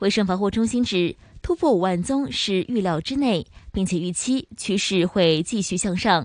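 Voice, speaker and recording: Using a normal speaking voice, a woman talks at medium pitch and a moderate pace with lively intonation, and the sound is dry and close with no echo. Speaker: news reader. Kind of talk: news reading. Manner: formal.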